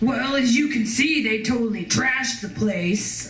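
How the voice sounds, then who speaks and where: A gruff, put-on character voice at a fairly high pitch moves at a moderate pace, with a slight echo around it. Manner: surly.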